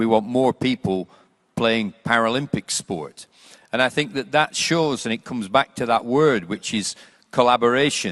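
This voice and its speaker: A man with an unremarkable speaking voice and a medium pitch. He talks at a moderate pace with lively intonation. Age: 60s. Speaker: panelist on sport and education. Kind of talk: panel discussion.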